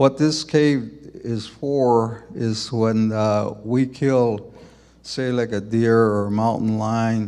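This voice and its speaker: Very slow and fairly even in intonation, a man speaks at medium pitch with a dark, mellow tone. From Zuni reservation, New Mexico, USA. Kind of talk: live conference presentation.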